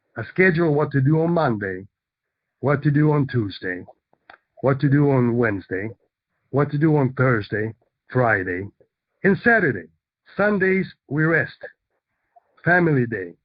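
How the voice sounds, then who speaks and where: Using very wide pitch swings, a man speaks at a fairly high pitch. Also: long, frequent pauses. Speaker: real estate investor and teacher. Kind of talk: lecture. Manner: animated.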